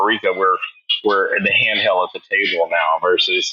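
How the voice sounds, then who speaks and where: A man talks at a moderate pace. He speaks with a Texan accent. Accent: Texan American. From Houston, Texas. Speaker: chef and restaurateur. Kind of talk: interview conversation. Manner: casual, hesitant with fillers.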